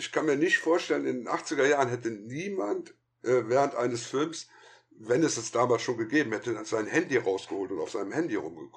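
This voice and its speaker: A man of medium pitch with lively intonation and a fairly quick pace. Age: 50s. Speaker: film critic and podcaster. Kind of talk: casual chat.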